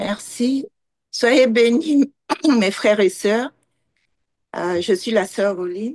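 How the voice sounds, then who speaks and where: At a very slow pace with long, frequent pauses, a woman speaks fairly high in pitch with ordinary pitch variation, the sound dry and close with no echo. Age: 60s. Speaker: church member asking a question. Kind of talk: Q&A question.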